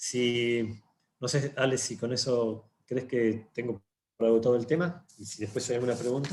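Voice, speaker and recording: The man's voice is somewhat breathy. His intonation stays fairly even. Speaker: lawyer. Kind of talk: panel talk. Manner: fast.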